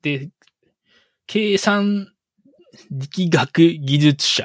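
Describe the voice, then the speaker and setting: Big swings in loudness and long, frequent pauses mark a man's high-pitched speech. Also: dry, close sound with no echo. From Japan, Shimane Prefecture. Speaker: guest engineer. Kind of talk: casual chat. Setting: video call. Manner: halting.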